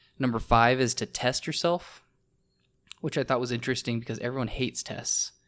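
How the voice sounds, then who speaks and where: A man with a plain, everyday voice at medium pitch, on a very clean recording with a silent background. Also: ordinary pitch variation, fairly quick pace. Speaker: podcast co-host. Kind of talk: casual chat.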